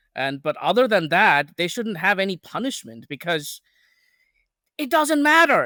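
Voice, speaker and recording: In a raised, projected voice, a man speaks at a moderate pace with a high pitch and a bright, sharp tone, the sound dry and close with no echo on a very clean recording with a silent background. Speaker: magazine editor, political commentator. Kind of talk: political podcast discussion. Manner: halting, many repeated words.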